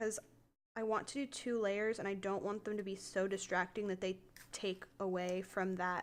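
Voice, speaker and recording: The voice is quiet, fairly slow and delivered in a monotone, flat intonation. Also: woman. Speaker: crafting live streamer. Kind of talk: casual live stream craft tutorial. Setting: live stream at home desk. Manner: quiet while focusing.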